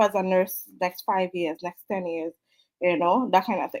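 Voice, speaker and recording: A woman speaks with a Trinidadian accent. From Trinidad and Tobago. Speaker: online business mentor. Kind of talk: live stream talk. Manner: casual, many fillers.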